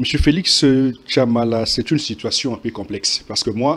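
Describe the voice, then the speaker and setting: A man's voice at a medium pitch. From DR Congo, Sankuru. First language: Tetela (speaking French). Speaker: journalist. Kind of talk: TV panel debate.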